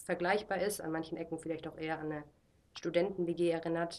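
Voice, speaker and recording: The speaker is a woman. Her voice is pitched fairly low. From Germany. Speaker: missionary, discipleship school leader. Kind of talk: casual interview.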